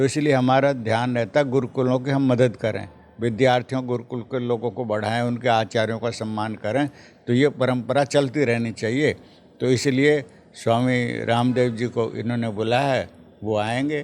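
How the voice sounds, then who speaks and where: A man speaks at a medium pitch in a monotone, flat way. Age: 80s+. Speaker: Arya Samaj Vedic scholar. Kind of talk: interview.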